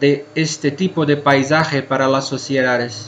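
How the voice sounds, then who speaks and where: Over noticeable background noise, a man with a Brazilian accent speaks at a fairly slow pace in fairly even intonation. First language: Portuguese (speaking Spanish). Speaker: cave scientist speaker. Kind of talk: conference talk. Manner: halting.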